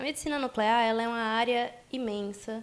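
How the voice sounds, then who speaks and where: With a strong Rio de Janeiro accent, a woman talks at a moderate pace with ordinary pitch variation. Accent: strong Rio de Janeiro (carioca). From Bahia, Brazil (Salvador). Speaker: nuclear medicine physician. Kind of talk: interview. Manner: articulate.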